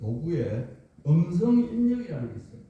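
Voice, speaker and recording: A man with a slight Gyeongsang accent talks at a fairly slow pace, with audible room echo and noticeable background noise. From South Korea, Gyeongsang (Masan, Changwon). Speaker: lecturer on AI tools. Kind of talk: lecture.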